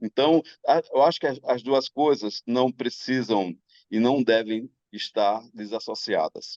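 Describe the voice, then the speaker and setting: At a very slow pace, a man speaks at a medium pitch with ordinary pitch variation, in a dry, close sound with no echo. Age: 60s. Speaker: singer-songwriter. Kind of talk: talk show panel discussion. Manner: halting.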